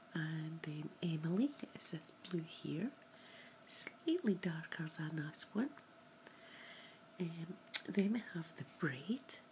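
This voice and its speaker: A soft-spoken woman with a fairly low pitch, a very slow pace and long, frequent pauses, over light background noise. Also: ordinary pitch variation. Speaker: makeup vlogger. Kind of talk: makeup tutorial, role-play style. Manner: soft, hushed ASMR voice. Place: home room. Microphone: webcam.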